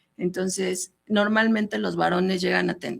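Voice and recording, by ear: A woman's fairly low voice with vocal fry, at a fairly slow pace and with fairly even intonation.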